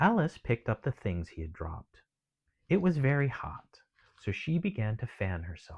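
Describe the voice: A quiet setting with plain reading aloud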